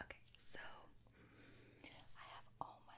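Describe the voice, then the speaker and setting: A woman whispers at a very slow pace. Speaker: ASMR creator. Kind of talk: ASMR roleplay, makeup application. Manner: whispered, soft, slow-paced. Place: home room.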